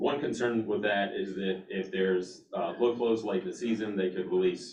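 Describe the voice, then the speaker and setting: A man amid noticeable background noise. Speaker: water district staff member. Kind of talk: board meeting presentation. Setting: meeting room with online attendees. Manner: halting.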